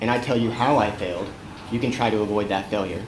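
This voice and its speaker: A man is heard with audible room echo, while noticeable background noise runs underneath. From California, San Francisco Bay Area. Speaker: web developer and community organizer, conference speaker. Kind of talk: conference talk. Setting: stage with audience. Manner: fast.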